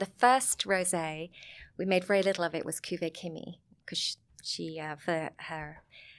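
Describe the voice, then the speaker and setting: Fairly slow speech comes with a Sussex accent and fairly even intonation. The recording is very clean, with a silent background. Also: woman. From southern England, Sussex. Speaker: vineyard owner and wine film producer. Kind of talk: casual interview chat.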